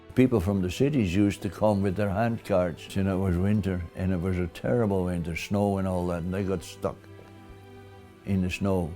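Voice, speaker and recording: A man speaks at a moderate pace in a very deep, low pitch. Music plays in the background. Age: 80s+. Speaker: war survivor. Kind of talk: interview answer.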